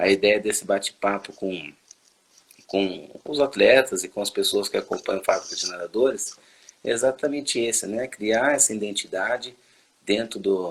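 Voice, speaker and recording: A man speaks at a moderate pace in a medium pitch. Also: ordinary pitch variation. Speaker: swimming coach and channel host. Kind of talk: interview. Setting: live video call. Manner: relaxed, conversational.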